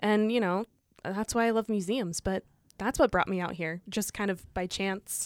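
A woman with an American accent speaks at a moderate pace in a plain, everyday voice, her medium pitch carried on fairly even intonation over a very clean recording with a silent background. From Illinois, US Midwest farming community. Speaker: museum staff. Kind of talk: casual chat.

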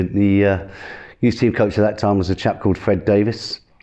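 A man's fairly low, dark, mellow voice in an East Midlands accent, fairly quick and monotone with flat intonation, over a quiet background. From Northamptonshire, England. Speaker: former footballer. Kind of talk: interview storytelling.

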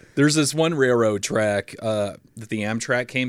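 In an ordinary speaking voice with an American accent, a man speaks at a moderate pace and fairly low pitch on a very clean recording with a silent background. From Fargo area, US Upper Midwest. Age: 30s. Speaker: stand-up comedian. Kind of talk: casual chat.

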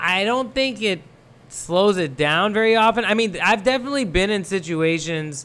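With a bright, sharp tone and high pitch, a man speaks at a moderate pace using lively intonation. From Thailand, Pakistani family. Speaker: TV producer and screenwriter. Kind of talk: casual interview. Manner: halting, many fillers.

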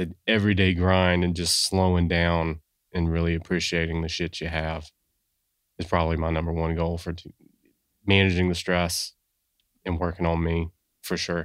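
A man with an American accent, very deep and low in pitch, monotone and flat, at a moderate pace with long, frequent pauses, on a very clean recording with a silent background. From South Carolina (Sumter). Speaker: guest co-host. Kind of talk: casual chat.

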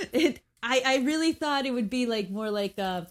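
Very wide pitch swings in a woman's high voice. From Mexico. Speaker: radio and podcast host. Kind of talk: casual chat.

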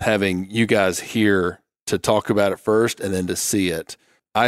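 The recording is very clean with a silent background, dry and close with no echo, as a man speaks at a moderate pace with fairly even intonation. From Arkansas. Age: 30s. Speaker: state wildlife agency director. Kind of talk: casual chat.

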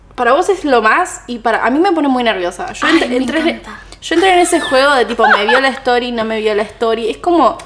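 A woman with a Rioplatense accent speaks at a fairly quick pace in a high voice, her pitch swinging very widely over noticeable background noise. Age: 20s. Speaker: podcast co-host, content creator and video editor. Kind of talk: casual chat.

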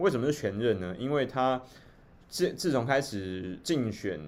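A man with a medium-pitched voice speaks at a fairly slow pace, his intonation lively. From Taiwan. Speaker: livestream host. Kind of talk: livestream commentary. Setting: live stream.

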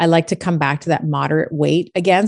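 In a dry, close sound with no echo and a quiet background, a woman has an unremarkable speaking voice with a fairly low pitch. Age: 40s. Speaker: chiropractor. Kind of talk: interview.

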